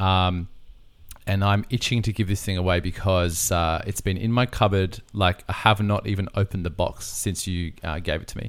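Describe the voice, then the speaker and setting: A man's very deep, low voice moves at a moderate pace with fairly even intonation, captured in a very clean recording against a silent background. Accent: Australian. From Australia. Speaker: podcast host, wedding photographer. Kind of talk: casual chat.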